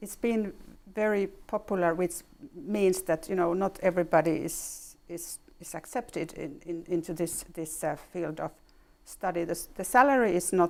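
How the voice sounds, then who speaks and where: With a Finnish accent, a woman at a fairly low pitch talks at a moderate pace with ordinary pitch variation and big swings in loudness, on a very clean recording with a silent background. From Finland. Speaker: ambassador. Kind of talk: interview. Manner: halting.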